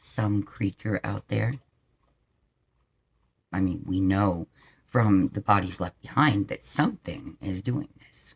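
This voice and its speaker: Using a put-on character voice, a raspy man talks at a fairly low pitch and a fairly slow pace, with long, frequent pauses. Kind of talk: Halloween creepy-story telling. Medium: solo performance. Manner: conversational, lightly wry.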